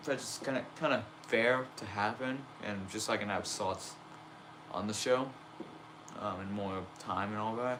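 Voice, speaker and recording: There is audible room echo as a man with a fairly low pitch talks at a fairly slow pace, with ordinary pitch variation and long, frequent pauses. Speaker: wrestling toy fed streamer. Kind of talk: casual live stream chat. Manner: casual, hesitant with fillers.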